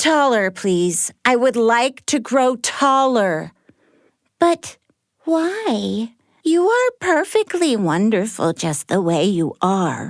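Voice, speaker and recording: In a put-on character voice, a female-sounding speaker talks at a very slow pace with a fairly high pitch and very wide pitch swings, recorded very cleanly against a silent background. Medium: read story. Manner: rambling, giggly, scatterbrained.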